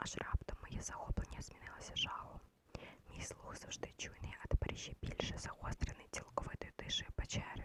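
Someone whispers at a moderate pace. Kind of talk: ASMR bedtime story reading. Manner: soft, quiet, intimate.

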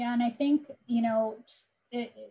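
A dark, mellow, somewhat breathy tone in an American accent, at a moderate pace. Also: woman. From Southern California. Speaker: tech business executive; panelist. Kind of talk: panel discussion. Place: home room. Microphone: earbuds.

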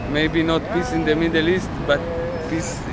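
Loud background noise surrounds a man speaking at a moderate pace, with a dry sound and no echo. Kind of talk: interview answer. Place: street. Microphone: phone near.

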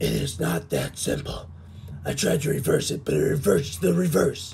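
A man with a very deep, low voice speaks at a moderate pace, his pitch swinging very widely. Clear background noise is present. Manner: indignant, fussy.

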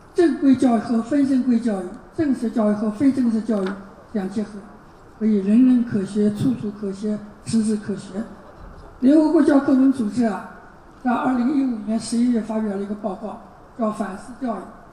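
A woman speaks at a fairly high pitch and a moderate pace, with ordinary pitch variation. Long, frequent pauses break up her speech, and there is noticeable background noise. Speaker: university professor giving a keynote. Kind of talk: lecture. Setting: conference stage with audience. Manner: halting, fillers.

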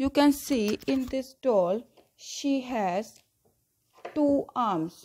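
A woman's high, dark, mellow voice with lively intonation, a very slow pace, long, frequent pauses and light background noise. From India. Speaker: school teacher. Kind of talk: lecture. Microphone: phone near.

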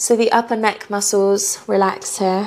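At a fairly slow pace, a woman speaks in a gentle tone. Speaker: yoga instructor. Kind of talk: guided yoga class, calm step-by-step cueing. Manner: soothing, slow and unhurried; gentle, encouraging. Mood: calm, soothing. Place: home room. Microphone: lapel.

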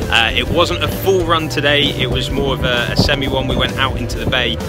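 Over loud music in the background, a man talks at a fairly quick pace in a dry sound with no echo. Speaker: local realtor vlogger. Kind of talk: casual vlog chat. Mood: upbeat, recommending. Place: waterside. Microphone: phone near.

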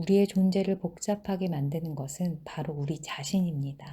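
A woman's voice sits at a very deep, low pitch, with a dark, mellow tone and a somewhat breathy quality. The recording is very clean, with a silent background. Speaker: book reading channel host. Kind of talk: reading aloud.

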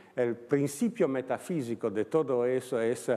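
A man speaks in an Italian accent. His pitch is medium. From Italy, Turin. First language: Italian (speaking Spanish). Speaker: philosopher. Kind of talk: lecture. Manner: halting.

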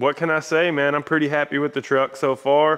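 A man's voice in a monotone, flat intonation. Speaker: channel host. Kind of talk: casual vlog wrap-up. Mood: relaxed, pleased. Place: garage.

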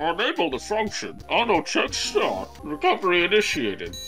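A put-on character voice speaks at a moderate pace over clear background music. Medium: machinima.

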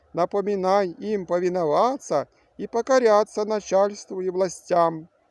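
Against a quiet background, a man puts on a shaky character voice at a high pitch, speaking at a moderate pace. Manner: earnest, preaching.

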